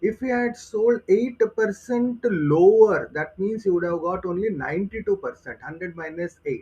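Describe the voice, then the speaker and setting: Speaking at a fairly slow pace in an Indian accent, a man has a dark, mellow tone. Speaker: aptitude trainer. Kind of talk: tutorial.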